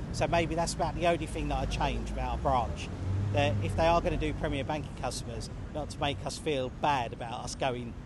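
A man speaks at a fairly quick pace. The sound is dry with no echo, but background noise is noticeable. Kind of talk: interview answer. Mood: relaxed, slightly amused. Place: street.

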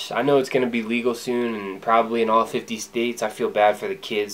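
A man with a fairly low pitch and fairly even intonation at a moderate pace, over light background noise. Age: 20s. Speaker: vlogger. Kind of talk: personal vlog monologue. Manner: casual, conversational. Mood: relaxed, reflective. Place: home room. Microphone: phone near.

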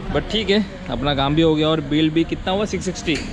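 Fairly quick speech with ordinary pitch variation over loud background noise. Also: man. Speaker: travel vlogger. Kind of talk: casual vlog chat. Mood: pleased, relaxed. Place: workshop.

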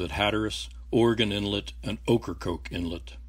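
On a very clean recording with a silent background, a man with vocal fry speaks at a fairly low pitch with very wide pitch swings. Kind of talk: scripted documentary narration. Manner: formal, measured, even-paced; authoritative, matter-of-fact.

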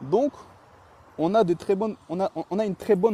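The sound is dry and close with no echo as a man speaks at a moderate pace with ordinary pitch variation. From France, raised from age 3 (born in Chechnya). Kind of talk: heated debate.

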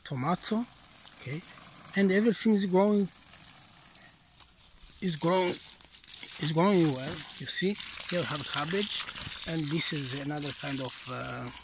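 The pace is fairly slow. Long pauses come often. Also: ordinary pitch variation.

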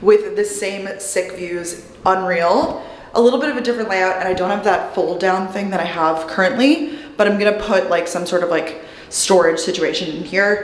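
A woman's voice with audible room echo. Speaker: vlogger. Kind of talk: casual vlog chat. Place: empty room. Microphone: phone near.

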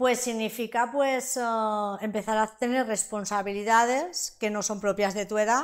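A woman's fairly high voice with fairly even intonation at a fairly slow pace, over a quiet background. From Valencia region, Spain (Sueca). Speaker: interviewee sharing life story. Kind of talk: interview testimony. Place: studio. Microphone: lapel.

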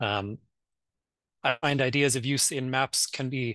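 A man with a Maritime Canadian accent is heard in a dry sound with no echo against a quiet background. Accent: Canadian (Maritimes). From Nova Scotia, Canada. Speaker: academic map librarian. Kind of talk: conference panel presentation. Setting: video call. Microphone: video call.

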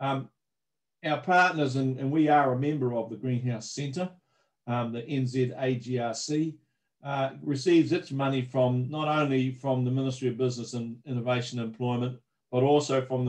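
Here a man speaks with a New Zealand accent. His pace is moderate and his intonation fairly even. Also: medium pitch for a man, quiet background. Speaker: agricultural research manager. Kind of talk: webinar presentation. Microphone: video call.

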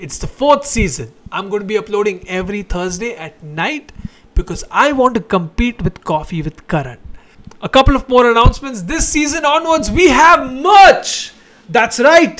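At a moderate pace, this man speaks with an extremely high pitch, very wide pitch swings and big swings in loudness. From India. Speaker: comedian, show host. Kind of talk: casual chat with direct-to-camera announcements. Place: home room. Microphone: handheld.

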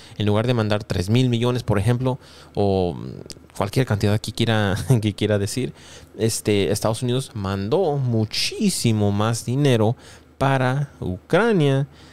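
In an English accent, a man speaks at a fairly slow pace, the sound dry with no echo. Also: ordinary pitch variation. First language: English (speaking Spanish). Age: 20s. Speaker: YouTuber; news commentator youtuber. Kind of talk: news commentary. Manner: frequent fillers. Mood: exasperated, laughing at times. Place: home room. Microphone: studio mic.

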